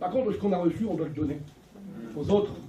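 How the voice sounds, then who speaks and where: A man speaks at a high pitch with lively intonation. The room echo is audible and the background noise noticeable. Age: 60s. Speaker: local organizer speaking to assembly. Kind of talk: exhortation to congregation. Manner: animated.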